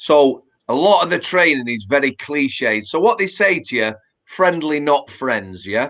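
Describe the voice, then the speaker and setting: With a Yorkshire accent, a man talks fairly slowly at a fairly high pitch, his voice swinging very widely up and down. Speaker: former prison officer and author. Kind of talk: interview. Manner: casual, conversational with fillers.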